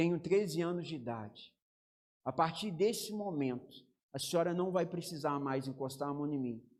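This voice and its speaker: A man speaks at a moderate pace in a plain, everyday voice with ordinary pitch variation. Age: 30s. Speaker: pastor. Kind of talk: sermon.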